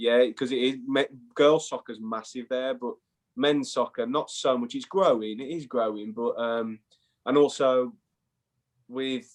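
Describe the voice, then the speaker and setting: A man with an English accent at a medium pitch, with long, frequent pauses. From England. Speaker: former college soccer player. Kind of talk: casual interview chat. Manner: animated.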